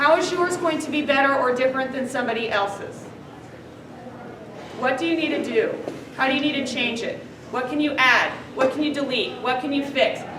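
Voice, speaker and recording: Amid noticeable background noise and audible room echo, a woman speaks at a fairly quick pace and high pitch with ordinary pitch variation, leaving long, frequent pauses. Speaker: teacher. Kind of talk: classroom lecture.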